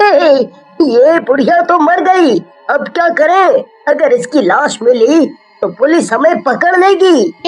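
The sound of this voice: Music plays in the background behind a put-on character voice. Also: fairly slow pace.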